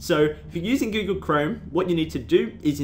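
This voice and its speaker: Music plays in the background as a man talks at a moderate pace with lively intonation. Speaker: YouTube tutorial maker. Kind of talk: casual screen-recording tutorial. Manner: casual, hesitant with fillers.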